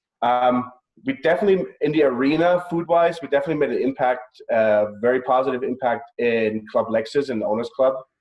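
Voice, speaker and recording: Speaking with a German accent, a man moves at a fairly quick pace. His pitch is medium, with ordinary variation. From Germany, Bavaria. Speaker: executive chef. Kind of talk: interview.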